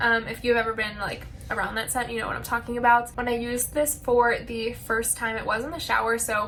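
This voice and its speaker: A woman at a fairly quick pace, fairly high in pitch, over noticeable background noise. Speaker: beauty and lifestyle vlogger. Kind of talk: casual product review vlog.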